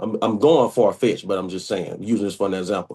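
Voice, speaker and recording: A man's voice with a dark, mellow tone comes through against a quiet background. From US South, Mobile, Alabama. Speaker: interview guest. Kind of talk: casual interview. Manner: loud.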